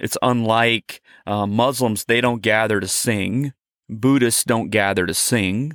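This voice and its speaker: On a very clean recording with a silent background, a man in an unremarkable speaking voice talks fairly slowly at medium pitch with ordinary pitch variation. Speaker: podcast co-host. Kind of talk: casual religious discussion.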